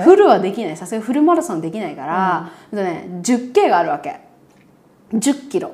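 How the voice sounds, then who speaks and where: A woman's fairly high, somewhat breathy voice at a moderate pace, with very wide pitch swings, big swings in loudness and audible room echo. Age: 30s. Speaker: podcast co-host and YouTuber. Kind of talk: casual chat. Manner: animated.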